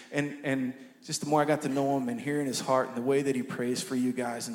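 A man speaks with audible room echo. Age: 20s. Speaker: pastor and worship leader. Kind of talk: sermon. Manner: halting.

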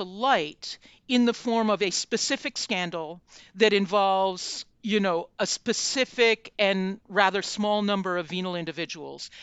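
With an American accent, an unremarkable speaking voice moves at a fairly slow pace with ordinary pitch variation. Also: woman. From United States. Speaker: journalist and author. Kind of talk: interview.

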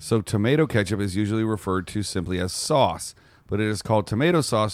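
A man's fairly low, playful voice at a very fast pace, with lively intonation and a very clean recording against a silent background. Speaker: podcast co-host. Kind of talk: casual banter, comedic podcast chat. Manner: playful, joking.

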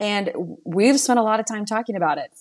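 A woman speaks at a moderate pace with ordinary pitch variation. Hers is an ordinary speaking voice. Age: 30s. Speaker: insurance agency owner. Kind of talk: casual chat.

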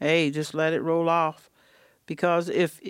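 A woman speaks with an eastern North Carolina accent in a fairly low pitch. The recording is very clean, with a silent background. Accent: eastern North Carolina Southern. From eastern North Carolina, Pender County. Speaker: retired hurricane survivor. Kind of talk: interview testimony. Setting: outdoors on a porch.

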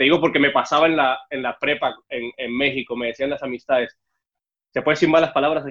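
A man with a plain, everyday voice, fairly high in pitch, with fairly even intonation at a fairly quick pace. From Mexico City (born in Cuba, left at seven). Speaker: TV host. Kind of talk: casual interview. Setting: remote video call.

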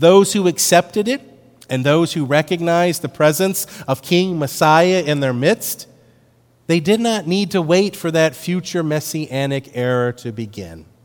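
A man with an ordinary speaking voice at a fairly high pitch, with lively intonation and a fairly slow pace. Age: 50s. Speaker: pastor. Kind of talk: sermon.

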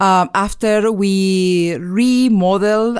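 In a very clean recording with a silent background, a woman with an Argentine accent speaks at a medium pitch with ordinary pitch variation. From Argentina (Mar del Plata). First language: Spanish. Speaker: chemical engineering professor. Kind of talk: interview. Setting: studio. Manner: halting.

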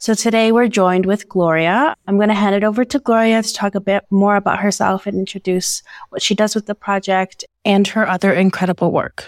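On a very clean recording with a silent background, a woman with a Canadian accent uses an unremarkable speaking voice at medium pitch, with fairly even intonation and a fairly quick pace. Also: dry, close sound with no echo. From Canada. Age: young. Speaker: youth podcast host. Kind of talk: casual chat.

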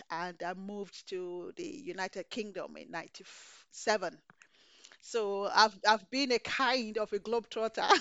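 Speaking at a very slow pace, a woman with a fairly high pitch makes big swings in loudness. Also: ordinary pitch variation. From Nigeria. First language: Yoruba. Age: 50s. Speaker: chef. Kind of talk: casual chat. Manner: excitable.

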